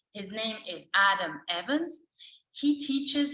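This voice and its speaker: A woman talks in an Italian accent, her tone bright and sharp. Her pitch swings very widely. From Italy. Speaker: course coordinator. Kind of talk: presentation. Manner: halting.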